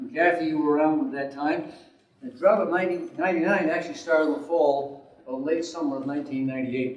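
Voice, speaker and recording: Over noticeable background noise and audible room echo, a man talks at a very fast pace in a fairly high pitch with ordinary pitch variation. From Rhode Island. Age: 60s. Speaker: war veteran and local river advocate. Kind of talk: conference presentation. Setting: conference room with audience. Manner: halting, many fillers.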